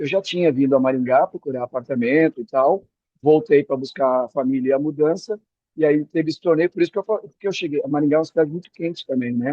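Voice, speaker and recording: A man with a fairly high pitch rushes along at a very fast pace, showing ordinary pitch variation. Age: 60s. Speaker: retired executive, beach tennis coach. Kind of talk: podcast interview. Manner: halting, with repetitions.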